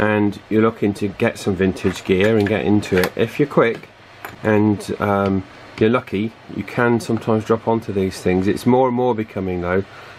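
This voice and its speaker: Against noticeable background noise, a man with a British accent speaks at a moderate pace with a fairly low pitch and fairly even intonation. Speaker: radio repair video maker. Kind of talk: tutorial. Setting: at home. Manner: hesitant, many fillers.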